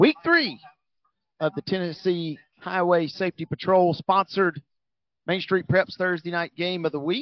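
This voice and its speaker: Long, frequent pauses break up speech delivered at a moderate pace. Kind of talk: live play-by-play sports commentary. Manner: builds excitement on big plays.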